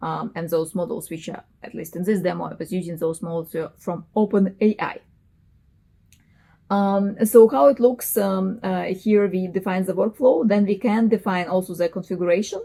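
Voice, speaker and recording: In a strong non-native accent, a woman speaks at a medium pitch with a dark, mellow tone, ordinary pitch variation and big swings in loudness. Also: moderate pace. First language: not English. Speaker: software engineer, tech youtuber. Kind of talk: tutorial. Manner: halting, many fillers.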